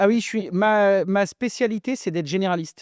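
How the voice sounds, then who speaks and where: A man's voice comes through dry and close, with no echo. The background is quiet. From France, rural countryside. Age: 40s. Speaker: plumber and TV presenter. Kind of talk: podcast interview. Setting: warehouse. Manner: casual, hesitant fillers.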